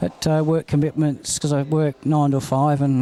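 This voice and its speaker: Speaking at a moderate pace, a man has an Australian accent and a fairly high pitch. His tone is dark and mellow. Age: 60s. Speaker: harness racing trainer and driver. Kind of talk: interview.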